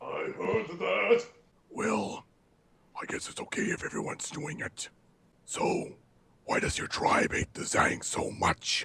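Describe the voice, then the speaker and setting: In a put-on character voice, a man sounds raspy and pompous, speaking fairly slowly with long, frequent pauses. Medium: game stream. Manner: pompous, speaks of himself in third person.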